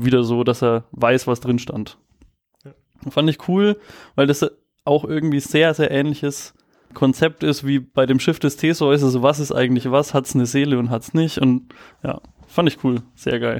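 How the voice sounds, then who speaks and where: A man talks with fairly even intonation, leaving long, frequent pauses. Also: fairly high pitch for a man, moderate pace. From Nuremberg, Franconia. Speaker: podcast co-host. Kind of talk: casual storytelling chat.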